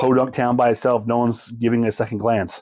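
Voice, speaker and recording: Here a man talks at a moderate pace. His tone is dark and mellow. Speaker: film collector reviewer. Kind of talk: casual video review. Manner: halting, many fillers; animated.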